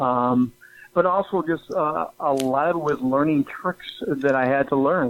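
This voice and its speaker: Noticeable background noise runs under this man's voice. His pitch is fairly high and his intonation fairly even. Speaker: broadcaster and public speaker. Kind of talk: interview. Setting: radio studio. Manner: halting, many fillers.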